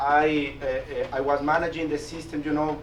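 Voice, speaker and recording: A man with a Latin American accent speaks at a fairly high pitch, with audible room echo and noticeable background noise. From Mexico. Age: 40s. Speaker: business executive and guest speaker. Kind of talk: presentation to a class. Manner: halting, with frequent repetitions and fillers.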